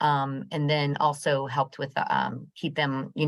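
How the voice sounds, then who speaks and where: Over a quiet background, a woman with a very deep, low pitch and vocal fry talks at a moderate pace with ordinary pitch variation. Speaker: program manager and business counselor. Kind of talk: training presentation on video call. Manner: hesitant, many fillers. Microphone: video call.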